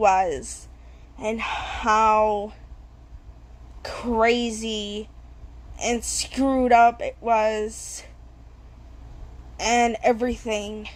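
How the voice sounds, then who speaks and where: This woman mumbles. She talks at a very slow pace. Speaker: vlogger. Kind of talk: personal testimony. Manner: mumbling.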